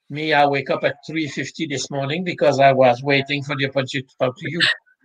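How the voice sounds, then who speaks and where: Speaking with a Quebec accent at a very fast pace, a man keeps a fairly high pitch and monotone, flat intonation while his loudness swings widely. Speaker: sports psychologist. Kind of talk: interview.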